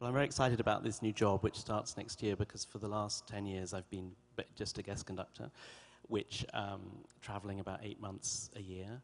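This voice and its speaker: With an English accent, a man speaks at a fairly quick pace. His pitch is fairly low and his intonation fairly even. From England. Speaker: orchestra conductor. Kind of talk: interview. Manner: articulate, measured.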